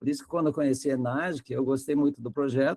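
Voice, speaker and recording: This man's voice has a dark, mellow tone and a fairly high pitch with ordinary pitch variation, recorded with a dry, close sound and no echo. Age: 60s. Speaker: retired electronics engineer, lecturer. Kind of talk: online lecture.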